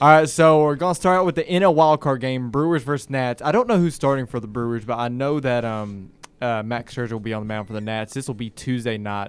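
Fairly quick and at a medium pitch, a man talks in a plain, everyday voice with ordinary pitch variation. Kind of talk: casual college sports banter on a campus radio panel. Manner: relaxed, conversational, filler-heavy, chatty.

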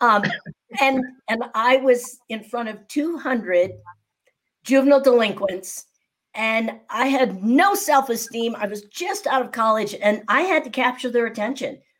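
With a high pitch and lively intonation, a woman speaks at a fairly slow pace. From US Midwest, Naperville near Chicago. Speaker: speaking coach and entrepreneur. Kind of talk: podcast interview.

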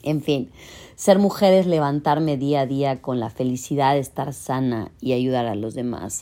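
At a fairly slow pace, a woman with a very deep, low pitch speaks in an animated tone with ordinary pitch variation. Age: 40s. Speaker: podcast host. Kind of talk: personal monologue.

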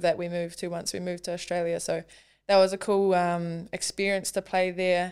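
Speaking fairly quickly, this woman has a New Zealand accent. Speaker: professional rugby league player. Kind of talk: casual interview.

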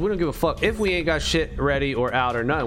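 With music in the background, a man talks very fast in an animated tone at a fairly high pitch. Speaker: gaming streamer. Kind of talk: casual livestream chat while playing a game. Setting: livestream, screen-share gameplay. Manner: high-energy, animated, loud; casual, slangy, profane.

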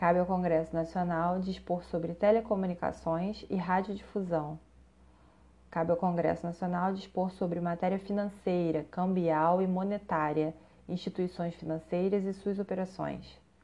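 In a Brazilian accent, a woman speaks at a moderate pace with monotone, flat intonation and a dark, mellow tone at a fairly low pitch. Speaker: narrator of legal text. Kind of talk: reading aloud of constitution text. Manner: formal.

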